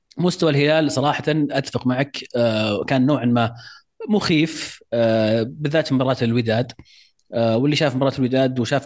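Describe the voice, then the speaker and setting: An ordinary speaking voice from a man at medium pitch, with ordinary pitch variation, a moderate pace and a quiet background. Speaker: football podcast co-host. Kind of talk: casual chat.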